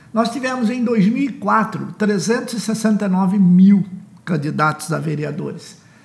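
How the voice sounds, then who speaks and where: Amid noticeable background noise, a man with a high pitch speaks at a very slow pace with ordinary pitch variation. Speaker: author and political consultant promoting his book. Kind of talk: promotional podcast monologue on elections.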